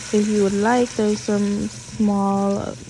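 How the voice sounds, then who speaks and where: A woman with a slight Puerto Rican accent, amid noticeable background noise. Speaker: cooking video creator. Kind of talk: cooking tutorial. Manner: casual, chatty.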